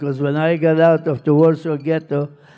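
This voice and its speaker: With music behind him, a man talks in a fairly high pitch. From Poland. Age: 80s+. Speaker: Holocaust survivor. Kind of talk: interview answer.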